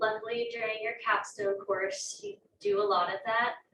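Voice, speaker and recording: Soft-spoken, a woman talks at a moderate pace with fairly even intonation. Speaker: graduate student. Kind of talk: panel talk at open house. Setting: classroom with audience.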